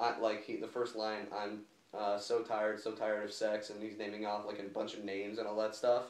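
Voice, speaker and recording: The speech moves at a fairly quick pace in a monotone, flat delivery. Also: man, fairly low pitch for a man. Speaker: music reviewer. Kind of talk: casual album review chat. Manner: halting, many fillers.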